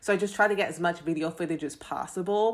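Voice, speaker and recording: A woman with a fairly low voice talks at a fairly quick pace in an animated tone. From London, England, later moved to US. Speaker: student and clothing designer. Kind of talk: casual chat.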